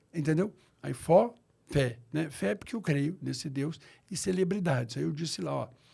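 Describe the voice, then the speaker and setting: The voice has a dark, mellow tone with vocal fry, lively intonation and a moderate pace. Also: man, fairly high pitch for a man. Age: 60s. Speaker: pastor. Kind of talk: interview.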